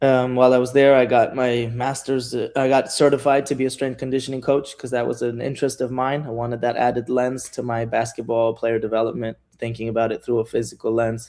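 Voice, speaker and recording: An American-accented man speaks at a fairly quick pace with hardly any pauses, his medium-pitched voice dark and mellow in tone and monotone and flat in intonation. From New York, US. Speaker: professional basketball coach. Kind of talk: casual interview.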